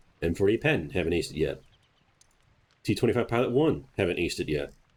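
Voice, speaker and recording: Talking at a very fast pace, a man sounds somewhat breathy, his intonation lively. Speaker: gaming YouTuber. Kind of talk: gameplay commentary tutorial.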